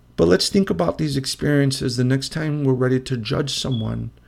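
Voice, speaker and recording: Speaking fairly quickly with a Chicago accent, a man uses lively intonation at a medium pitch. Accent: Chicago American English. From Chicago, Illinois. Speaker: podcast host, social worker, former prisoner. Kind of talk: personal testimony monologue.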